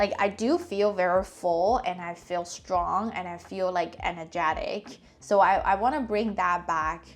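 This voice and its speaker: A woman at a fairly slow pace, medium in pitch, with a non-native accent. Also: ordinary pitch variation, hardly any pauses. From China. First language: not English. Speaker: personal finance vlogger. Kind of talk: casual vlog talk. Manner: halting, many fillers.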